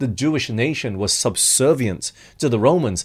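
Over a silent background in a very clean recording, a man with vocal fry speaks at a fairly slow pace. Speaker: preacher. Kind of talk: sermon.

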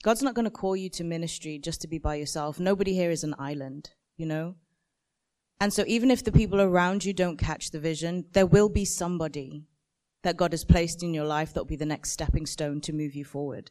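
A woman's fairly low, dark, mellow voice at a fairly quick pace, with big swings in loudness. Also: ordinary pitch variation. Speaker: design panelist. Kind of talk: panel discussion. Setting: conference stage with audience.

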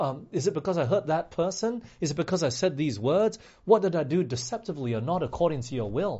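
Speaking fast, a man has a fairly high pitch and lively intonation. His tone is dark and mellow with a slightly husky edge.

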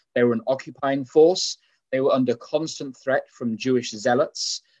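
A man with a medium pitch and an English accent. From England. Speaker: preacher. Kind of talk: sermon. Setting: live stream with audience.

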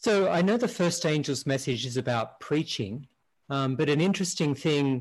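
Against a quiet background, a man with a fairly high, somewhat breathy voice speaks at a moderate pace with lively intonation and very even loudness. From Australia. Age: 50s. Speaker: tech entrepreneur. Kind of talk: panel discussion.

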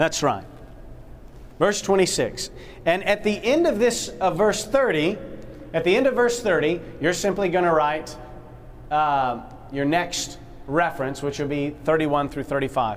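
At a very slow pace, a man speaks with a high pitch and lively intonation. Long, frequent pauses and audible room echo fill the recording. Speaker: Bible study instructor. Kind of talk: interactive Bible class lecture. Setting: classroom with live audience. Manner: animated, call-and-response questioning.

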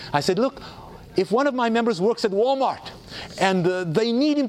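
A man's high voice, fairly quick, swinging very widely in pitch, over noticeable background noise. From South Africa. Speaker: theologian and speaker. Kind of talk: lecture. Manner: animated.

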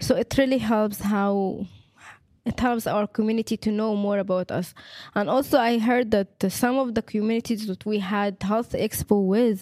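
A woman's fairly high voice with an Arabic accent, fairly even intonation and a moderate pace, in a dry, close sound with no echo. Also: very clean recording, silent background. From Egypt. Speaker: education student. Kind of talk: testimony.

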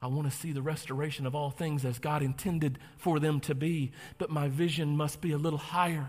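A somewhat breathy, animated voice with an American accent at a fairly quick pace. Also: man, fairly high pitch for a man. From North Carolina. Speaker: pastor. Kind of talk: sermon. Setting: church with congregation. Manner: animated, preacherly.

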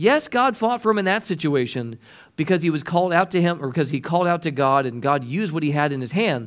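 A man's animated, very fast delivery at a fairly high pitch, with lively intonation, on a very clean recording against a silent background. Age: 30s. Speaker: preacher. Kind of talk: sermon.

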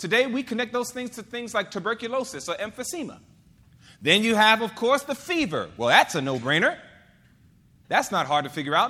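Speaking in a raised, projected voice, a man with a high pitch and a bright, sharp tone moves at a fairly quick pace, his pitch swinging very widely between long, frequent pauses. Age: 40s. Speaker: preacher. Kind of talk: sermon. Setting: church.

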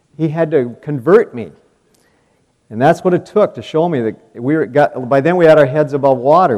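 A man at a fairly high pitch and moderate pace, with an Upper Midwest accent. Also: big swings in loudness. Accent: Upper Midwest American. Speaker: farmer and speaker. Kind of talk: devotional testimony.

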